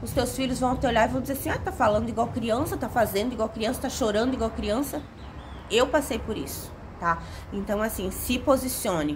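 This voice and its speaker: Over background music, the speaker talks at a fairly quick pace in an animated tone with ordinary pitch variation. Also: woman, fairly high pitch for a woman. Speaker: self-help video creator. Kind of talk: motivational talk to camera.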